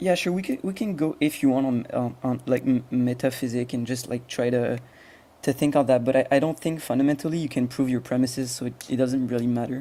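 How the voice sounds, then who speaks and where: The voice has a dark, mellow tone and fairly even intonation, delivered at a fairly quick pace. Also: man, medium pitch for a man. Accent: French. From France. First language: French. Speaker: agnostic debater. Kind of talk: debate. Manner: halting.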